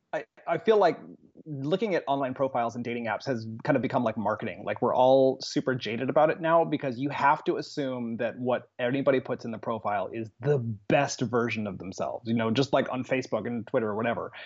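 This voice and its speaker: Very fast, enthusiastic, animated man with an American accent, medium pitch and ordinary pitch variation. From Phoenix, Arizona. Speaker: guest. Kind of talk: casual chat.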